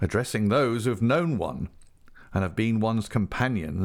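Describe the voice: This is plain reading aloud. The pitch variation is ordinary.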